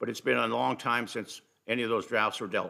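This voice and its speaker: With vocal fry and a bright, sharp tone, the voice moves at a moderate pace. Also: man. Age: 70s. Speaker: community volunteer presenting to council. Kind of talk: formal presentation at council meeting. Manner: halting with restarts.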